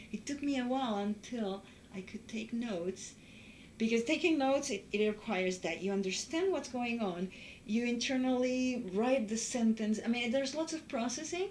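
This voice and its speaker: A woman with a Spanish accent talks at a moderate pace with a fairly high pitch and lively intonation. Noticeable background noise runs behind her. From Uruguay. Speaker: former international student. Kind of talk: interview testimony.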